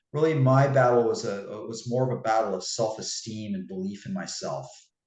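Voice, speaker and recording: A man with lively intonation at a fairly quick pace, audible room echo around him. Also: medium pitch for a man. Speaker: fitness coach and author. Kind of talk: interview.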